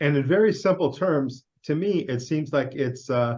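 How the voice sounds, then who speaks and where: This man speaks with an American accent and ordinary pitch variation. His voice is somewhat breathy. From US Midwest, Chicago. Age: 60s. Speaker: interviewer. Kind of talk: casual interview.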